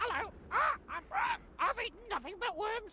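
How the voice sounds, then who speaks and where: A woman does a put-on character voice at an extremely high pitch. She keeps a moderate pace over clear background noise. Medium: video game.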